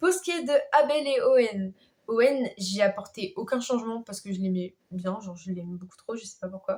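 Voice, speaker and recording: Her loudness swings widely from moment to moment. This woman has a fairly high pitch and lively intonation. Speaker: YouTuber. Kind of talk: casual vlog. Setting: sitting in her bed. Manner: hesitant, many fillers.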